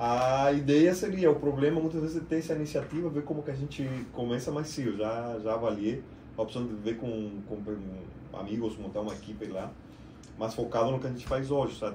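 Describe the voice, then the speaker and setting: A man with a medium pitch talks at a fairly quick pace, his tone dark, mellow and somewhat breathy. His pitch varies in an ordinary way, and there is audible room echo. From Argentina. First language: Spanish (speaking Portuguese). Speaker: IT business owner. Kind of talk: podcast interview.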